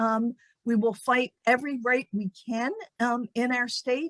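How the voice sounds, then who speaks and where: A woman speaks in a high voice, recorded dry and close with no echo at all. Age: 70s. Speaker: women's rights advocate. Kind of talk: panel discussion. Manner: earnest.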